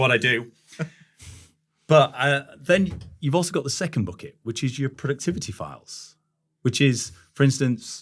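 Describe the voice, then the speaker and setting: Somewhat breathy, a man at medium pitch talks with ordinary pitch variation and long, frequent pauses. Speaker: industrial cybersecurity expert. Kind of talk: podcast discussion. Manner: fast.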